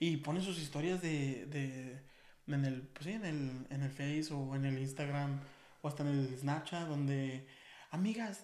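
A man talks fairly slowly, with audible room echo and noticeable background noise in the recording. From Mexico, Aguascalientes. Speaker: podcast co-host. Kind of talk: casual chat.

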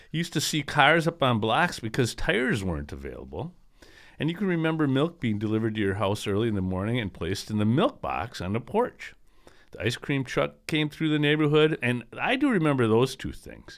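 A man with an ordinary speaking voice talks at a fairly quick pace, his pitch medium and his intonation lively. The recording is very clean, with a silent background. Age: 60s. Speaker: podcast co-host. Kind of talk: casual chat.

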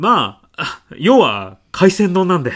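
Using a put-on character voice, a man speaks at a fairly slow pace with a high pitch, a fairly bright tone and big pitch swings, on a very clean recording with a silent background.

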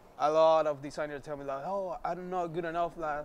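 With a Spanish accent, a man speaks at a moderate pace in a fairly high pitch, his intonation fairly even. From Venezuela, Maracaibo. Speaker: graphic designer. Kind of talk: casual chat.

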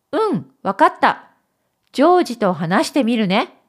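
A woman speaks with very wide pitch swings. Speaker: Japanese teacher and storyteller. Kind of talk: dramatic storytelling narration, reading a story aloud. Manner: clear, slow, expressive narration, with a warmer voice for the dialogue.

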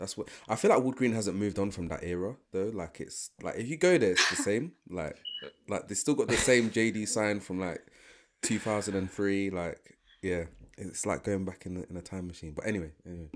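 A London accent at a fairly quick pace, with ordinary pitch variation. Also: man, fairly low pitch for a man. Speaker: podcast co-host. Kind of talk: casual chat. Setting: video call.

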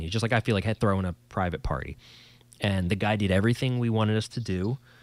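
A man with a New Jersey accent, fairly low pitch and ordinary pitch variation. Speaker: podcast host and musician. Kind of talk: casual banter chat. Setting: video call, quarantine at home. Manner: joking, rambling, self-deprecating.

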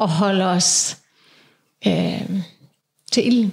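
A woman speaks with ordinary pitch variation. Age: 40s. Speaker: podcast co-host. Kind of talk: casual chat.

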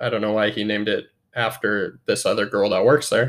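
The man's delivery moves at a moderate pace. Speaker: horror film podcast host. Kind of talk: casual solo film review podcast. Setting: home recording. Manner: monotone.

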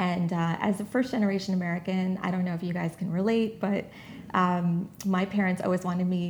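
A woman's medium-pitched, somewhat breathy voice at a fairly quick pace, with fairly even intonation. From New York City (Jamaica, Queens). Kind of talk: interview.

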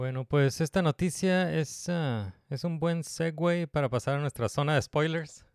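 An unremarkable speaking voice from a man, fairly high in pitch with ordinary pitch variation, at a fairly slow pace with hardly any pauses, dry and close with no echo on a very clean recording with a silent background. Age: 30s. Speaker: podcast host. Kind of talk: casual chat.

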